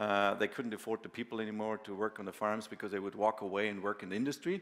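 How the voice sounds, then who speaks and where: A man speaks at a very fast pace. His pitch is fairly low and his intonation fairly even. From Bavaria, southern Germany. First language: German. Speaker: farmer and machinery company founder. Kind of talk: conference talk. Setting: conference with audience. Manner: casual, filler-heavy with many hesitations.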